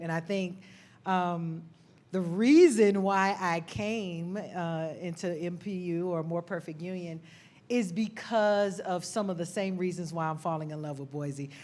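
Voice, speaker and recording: A woman talks with an Atlanta accent. Her pitch varies in an ordinary way. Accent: Southern US, Atlanta. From US South, Atlanta, Georgia. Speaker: nonprofit director, army veteran. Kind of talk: panel discussion. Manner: animated.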